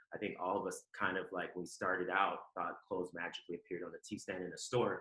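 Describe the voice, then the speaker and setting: His pace is very fast. The man talks with an American accent. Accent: slight Southern accent at times. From Ohio, US Midwest, Southern family. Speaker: fashion executive. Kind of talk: podcast interview. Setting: remote call.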